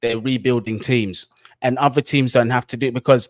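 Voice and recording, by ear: A man talks at a fairly quick pace in a medium pitch. His intonation stays fairly even.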